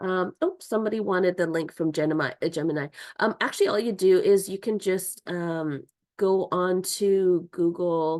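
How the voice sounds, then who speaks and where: Her intonation fairly even, a woman talks at a medium pitch in a normal speaking voice. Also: moderate pace. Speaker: online course instructor. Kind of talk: tutorial.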